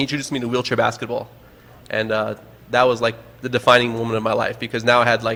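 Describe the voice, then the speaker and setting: With an American accent and vocal fry, a man talks at a very fast pace in a monotone, flat intonation, broken by long, frequent pauses. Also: medium pitch for a man. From New York, Long Island. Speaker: adaptive sports organizer. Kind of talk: casual chat. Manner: halting.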